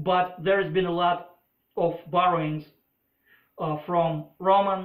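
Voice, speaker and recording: The speaker has a Russian accent and talks fairly slowly with monotone, flat intonation. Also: man. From former Soviet Union. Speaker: political commentator. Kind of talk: opinion monologue. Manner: hesitant, many filler uhs.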